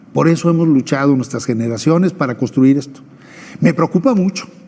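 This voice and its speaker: Over noticeable background noise, a man speaks with lively intonation. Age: 60s. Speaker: former election official. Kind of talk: TV interview.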